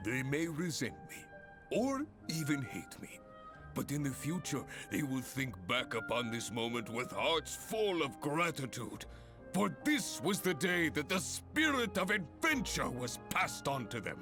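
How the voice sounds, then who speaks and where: Over clear background music, a man does a booming, put-on character voice at a fairly high pitch and moderate pace. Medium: cartoon. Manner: long-winded, booming, theatrical.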